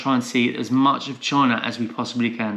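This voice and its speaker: A man with a Portsmouth accent speaks at a fairly quick pace, his medium-pitched voice keeping a fairly even intonation. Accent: southern English, Portsmouth. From southern England, Portsmouth, Hampshire. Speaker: travel vlogger. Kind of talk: casual chat.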